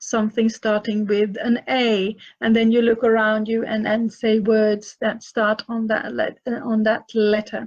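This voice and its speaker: In a Finland Swedish accent, a woman speaks at a fairly slow pace with a fairly high pitch. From Finland, Swedish-speaking minority. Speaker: author and parenting advisor. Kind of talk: live Q&A session. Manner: halting, many fillers and repeats.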